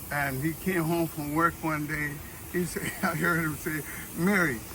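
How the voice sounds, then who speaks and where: Noticeable background noise sits behind this recording. A man speaks with high pitch. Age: 70s. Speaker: family elder reminiscing. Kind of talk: casual chat.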